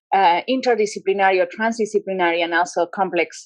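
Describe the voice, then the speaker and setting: Against a quiet background, a woman with a Spanish accent talks at a moderate pace in a dry, close sound with no echo. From Argentina, Rosario. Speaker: public health researcher and former pediatrician. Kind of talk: panel conversation. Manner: halting, many fillers.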